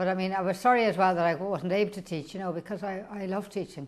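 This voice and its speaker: A woman with an Irish accent speaks at a very fast pace, her fairly low voice keeping a fairly even intonation. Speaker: school principal with Parkinson's. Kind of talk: personal testimony. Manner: halting, repetitive.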